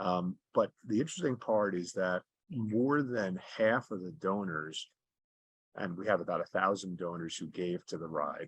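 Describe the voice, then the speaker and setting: A man talks with a very deep, low pitch. His pitch varies in an ordinary way. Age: 60s. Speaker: charity fundraiser cyclist. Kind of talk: interview. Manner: conversational with frequent fillers and repetitions.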